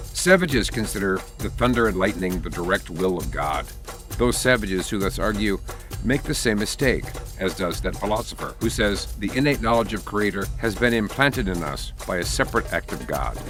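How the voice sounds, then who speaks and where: Someone with an American accent speaks at a fairly quick pace over music in the background. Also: man. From United States. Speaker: voice-over narrator reading historical texts. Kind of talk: documentary narration of historical text, reflective reading.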